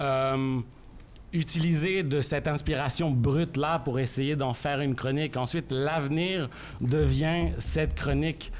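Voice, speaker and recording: The man's pitch is fairly high and his pace fairly slow. His intonation is fairly even, his loudness very even, and the room echo is audible. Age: 30s. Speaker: journalist and columnist. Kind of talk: reading aloud. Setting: stage with audience.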